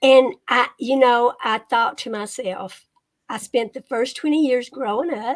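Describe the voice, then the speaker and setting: With a Kentucky accent, a woman talks at a fairly slow pace in a high pitch. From Eastern Kentucky, Appalachia. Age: 70s. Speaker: retired copy editor and author. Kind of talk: interview. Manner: casual, hesitant fillers.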